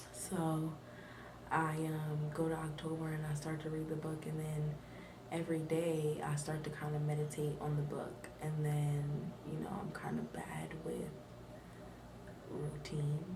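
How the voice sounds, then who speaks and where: Amid noticeable background noise and audible room echo, a woman with a very deep, low pitch speaks monotone and flat at a fairly slow pace, pausing long and often. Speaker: vlogger. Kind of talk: casual vlog talk. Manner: soft-spoken.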